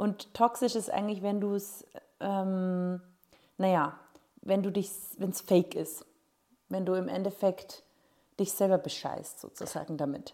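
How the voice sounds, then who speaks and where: Speaking at a fairly slow pace with long, frequent pauses, a woman uses a dark, mellow tone, medium pitch and fairly even intonation. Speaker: podcast host. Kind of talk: casual chat.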